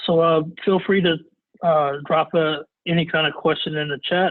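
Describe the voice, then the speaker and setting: This man speaks at a fairly high pitch. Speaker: cybersecurity expert giving a webinar. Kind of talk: webinar presentation. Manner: halting with many fillers.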